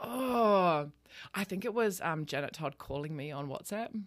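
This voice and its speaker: Lively intonation and an Australian accent come through on a very clean recording with a silent background. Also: woman. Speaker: podcast host. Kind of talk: casual chat. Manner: casual, swears freely.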